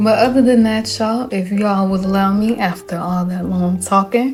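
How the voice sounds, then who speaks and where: With music in the background, a woman speaks in a Southern US accent at a moderate pace. Her warm tone sits at medium pitch, with fairly even intonation. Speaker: gaming YouTuber. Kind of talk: casual talk to camera. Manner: warm, friendly.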